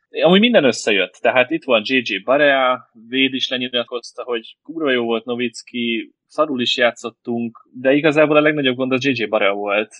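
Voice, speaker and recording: At a moderate pace and medium pitch, a man talks with ordinary pitch variation and hardly any pauses. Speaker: basketball fan guest. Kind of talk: casual chat.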